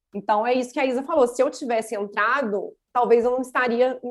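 This woman's voice sits high in pitch. She talks fairly quickly. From Minas Gerais, Brazil (Juiz de Fora). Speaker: lawyer. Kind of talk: casual chat.

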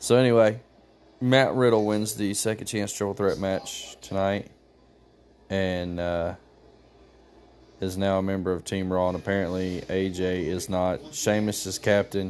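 A man speaks quietly in a fairly low pitch, with a calm tone and fairly even intonation. His pace is fairly slow, with long, frequent pauses. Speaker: wrestling commentator podcaster. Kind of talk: casual live show recap. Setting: at home holding baby. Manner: calm and quiet.

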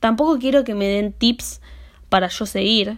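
A woman's fairly high voice, a plain, everyday voice, at a fairly slow pace with ordinary pitch variation. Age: 20s. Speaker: podcaster. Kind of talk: solo monologue podcast.

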